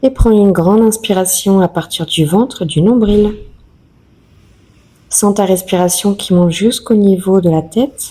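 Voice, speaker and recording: Soft-spoken and calm, a woman talks at a fairly slow pace with long, frequent pauses, at a medium pitch with ordinary pitch variation, very even loudness and a dark, mellow tone. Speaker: yoga teacher. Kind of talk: guided yoga session instruction. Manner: soft, calm.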